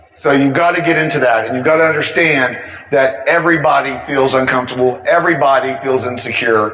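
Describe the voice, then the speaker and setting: A man's fairly high, energetic voice at a fairly quick clip, ordinary in pitch variation, over noticeable background noise. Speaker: information security speaker. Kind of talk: conference talk. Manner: energetic, ranty; fast.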